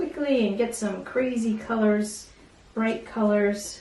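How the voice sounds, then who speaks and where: Ordinary pitch variation at a very slow pace, with audible room echo and noticeable background noise. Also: woman. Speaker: art teacher. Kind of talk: tutorial.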